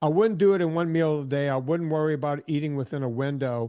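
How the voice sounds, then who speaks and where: Over a quiet background, a man with an American accent speaks at a moderate pace, his fairly high voice dark and mellow in tone. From US South, southern Louisiana. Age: 60s. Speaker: fitness trainer. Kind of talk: casual chat.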